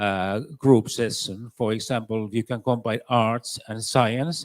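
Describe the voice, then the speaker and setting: A man with a Finnish accent speaks fairly slowly at a medium pitch, in a dry, close sound with no echo and a very clean, silent background. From Finland. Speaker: education expert. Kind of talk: conference panel answers. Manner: halting, many fillers.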